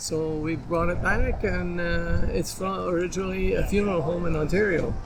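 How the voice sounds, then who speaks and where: A man keeps a moderate pace while noticeable background noise and audible room echo fill the recording. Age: 80s+. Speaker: classic car owner. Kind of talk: casual interview. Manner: halting.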